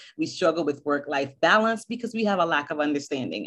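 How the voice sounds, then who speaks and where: A woman's unremarkable speaking voice, fairly low in pitch, with lively intonation. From US Northeast (Boston), born in Barbados. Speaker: school counselor. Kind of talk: interview.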